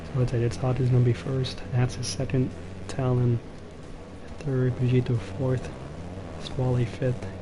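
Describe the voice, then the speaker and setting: Whispering quietly at a fairly slow pace, a man leaves long, frequent pauses over noticeable background noise. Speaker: esports race commentator. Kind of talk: live commentary. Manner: quiet, near whisper. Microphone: low-battery mic, cutting out.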